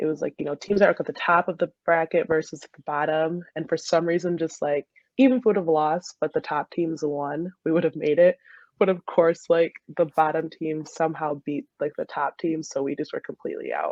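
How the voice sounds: A woman with a low pitch and a slightly mellow tone talks at a fairly quick pace with fairly even intonation, in a dry, close sound with no echo.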